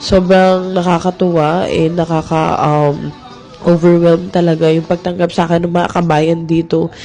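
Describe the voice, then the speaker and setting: Noticeable background noise accompanies a woman speaking at a moderate pace with a fairly low pitch, very even loudness and flat, monotone intonation. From Philippines. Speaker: makeup artist vlogger. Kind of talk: casual vlog.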